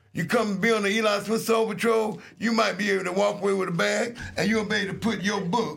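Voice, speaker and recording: A very fast, high-pitched man's voice with hardly any pauses, very even loudness and audible room echo. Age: 60s. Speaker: radio host. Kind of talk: casual chat. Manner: animated.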